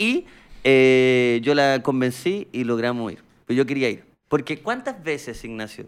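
At a fairly slow pace, a man speaks at a medium pitch with ordinary pitch variation. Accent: Chilean. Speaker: podcast host. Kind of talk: casual chat.

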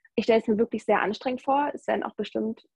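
A woman speaks with a fairly high pitch and a somewhat breathy quality. Her intonation stays fairly even. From Germany, North Rhine-Westphalia. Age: 20s. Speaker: backpacker. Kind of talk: casual interview.

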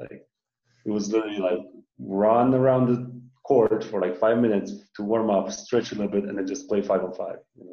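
Speaking with a Romanian accent, a man keeps a fairly quick pace. His pitch is fairly low and his loudness swings a lot. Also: fairly even intonation. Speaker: professional basketball player. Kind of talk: casual interview.

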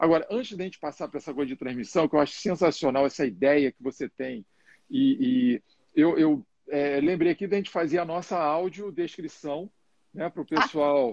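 The intonation is lively, with a dry, close sound with no echo. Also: man. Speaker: live show host and coach. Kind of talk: live interview. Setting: Instagram live.

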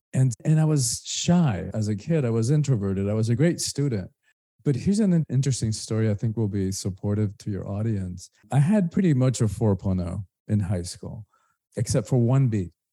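A man's dark, mellow, somewhat breathy tone, lively intonation and a moderate pace. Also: medium pitch for a man. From Cuba, then rural Georgia US. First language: Spanish. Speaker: spiritual teacher and author. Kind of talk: interview conversation.

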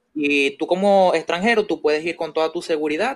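This man speaks with a fairly high pitch. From Venezuela. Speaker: guest. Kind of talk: casual chat.

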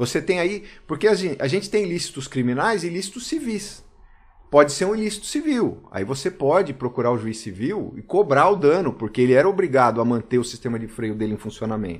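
This man's voice is fairly high and moves at a fairly quick pace. His pitch swings very widely on a very clean recording with a silent background. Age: 40s. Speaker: police chief. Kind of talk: casual chat. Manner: hesitant, with fillers.

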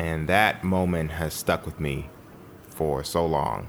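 A man with a very deep, low pitch and vocal fry speaks at a very slow pace. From Chicago, US Midwest. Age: 20s. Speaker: jazz pianist and theologian. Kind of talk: interview conversation. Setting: at his home.

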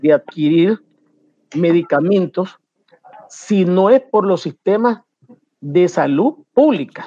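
A man's high voice has lively intonation. The sound is dry and close with no echo. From Nicaragua. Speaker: pediatrician. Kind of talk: panel discussion.

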